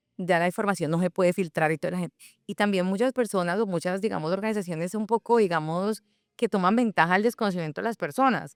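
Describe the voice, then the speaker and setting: A woman's medium-pitched voice with a Colombian accent, very fast, with ordinary pitch variation, on a very clean recording with a silent background and a dry, close sound with no echo. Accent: Cali (caleño) Colombian Spanish. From Colombia, Cali. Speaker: founder of a platform for immigrant professionals. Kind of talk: interview conversation. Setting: radio studio.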